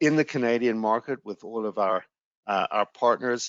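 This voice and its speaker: Speaking in a South African accent, a man keeps a moderate pace and fairly even intonation at a fairly low pitch. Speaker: sales executive presenting a travel webinar. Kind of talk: webinar presentation. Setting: online webinar. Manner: hesitant, frequent fillers.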